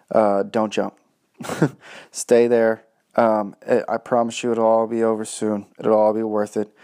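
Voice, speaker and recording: Against a quiet background, a man with a dark, mellow tone and medium pitch speaks at a fairly slow pace in a monotone, flat intonation. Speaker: parenting podcaster. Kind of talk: advice monologue. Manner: halting, many fillers.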